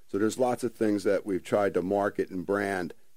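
A man with a New Jersey accent and a fairly low pitch talks at a fairly quick pace on a very clean recording with a silent background. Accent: New Jersey American. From South Jersey (Ventnor, New Jersey). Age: 50s. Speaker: author and breathing coach. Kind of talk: radio interview.

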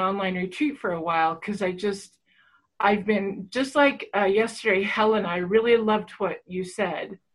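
Speaking at a moderate pace, a woman with a plain, everyday voice keeps a medium pitch and ordinary pitch variation. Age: 50s. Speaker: online retreat participant. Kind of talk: personal sharing. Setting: video call.

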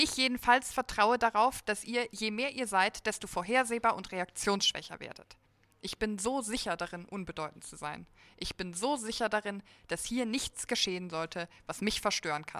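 Speaking at a moderate pace, a woman has a bright, sharp tone with big swings in loudness, captured dry and close with no echo on a very clean recording with a silent background. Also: ordinary pitch variation. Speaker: writing competition participant. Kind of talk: reading aloud. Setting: stage with audience.

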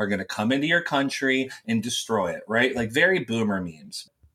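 A man speaks at a fairly quick pace with an American accent. His medium pitch and a normal speaking voice stand out. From US South, West Virginia small town. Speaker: former far-right YouTuber. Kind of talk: casual interview chat.

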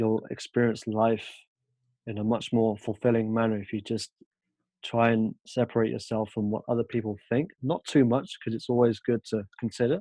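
Speaking at a moderate pace with a British accent, a man has a dark, mellow tone, heard in a dry, close sound with no echo against a quiet background. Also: medium pitch for a man, fairly even intonation. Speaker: podcast guest. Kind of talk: podcast interview.

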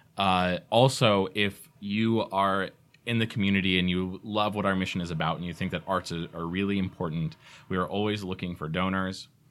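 This man has a very deep, low pitch and an American accent, speaking at a moderate pace with fairly even intonation. The recording is very clean, with a silent background. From Georgia, US (Atlanta area). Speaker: theater managing director. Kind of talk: casual interview. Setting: studio.

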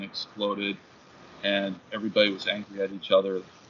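A man with an American accent talks at a moderate pace in a fairly low pitch, an ordinary speaking voice. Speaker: professor and writer. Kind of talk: casual interview chat.

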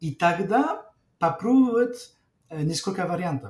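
A man's high-pitched voice with a French accent, dark, mellow tone and fairly slow pace. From northern France. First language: French (speaking Russian). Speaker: intercultural trainer and lecturer. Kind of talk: interview. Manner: halting, many fillers.

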